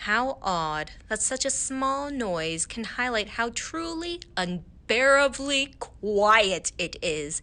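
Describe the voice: The clip features plain reading aloud. The delivery stays that way throughout.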